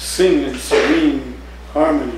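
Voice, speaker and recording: Speaking at a fairly slow pace, a man is heard with audible room echo and light background noise. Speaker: poet. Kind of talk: poetry reading, performed poem with dark menacing narration. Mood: warm, smiling, expressive. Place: cafe. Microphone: camera far.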